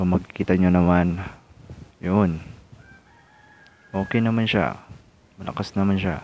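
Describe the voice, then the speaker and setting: A man's pitch is very deep and low, and his intonation stays fairly even. He leaves long, frequent pauses. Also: fairly slow pace. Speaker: tech tutorial YouTuber. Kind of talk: tutorial. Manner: casual, halting.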